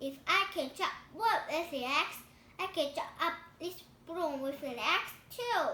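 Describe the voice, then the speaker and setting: A woman puts on a squeaky character voice, extremely high in pitch. She speaks at a fairly slow pace. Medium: read story.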